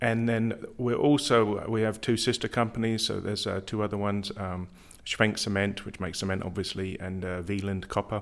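On a very clean recording with a silent background, a man speaks with a fairly low pitch. His pace is fairly quick and his intonation monotone and flat. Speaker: company insurance manager. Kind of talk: interview. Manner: hesitant, many fillers.

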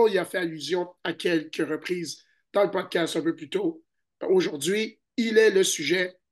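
Very slow speech against a quiet background. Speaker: basketball podcast host and scout. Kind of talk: casual chat. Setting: remote recording from hotel in Chicago.

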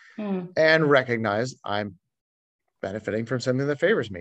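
A plain, everyday voice from a man at medium pitch, fairly quick in pace with lively intonation, over a quiet background. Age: 40s. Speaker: pastor. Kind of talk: casual chat.

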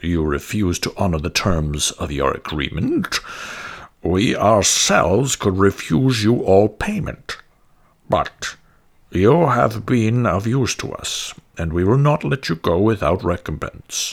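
A man's fairly low voice, fairly slow in pace, with lively intonation. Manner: sly, condescending.

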